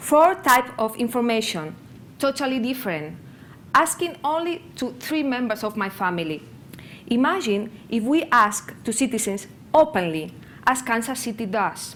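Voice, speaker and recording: The speaker has a Spanish accent and a moderate pace, with very wide swings in pitch. Room echo can be heard in the recording. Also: woman, fairly high pitch for a woman. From Spain, near Barcelona. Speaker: conference speaker on open data. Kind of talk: conference presentation. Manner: halting.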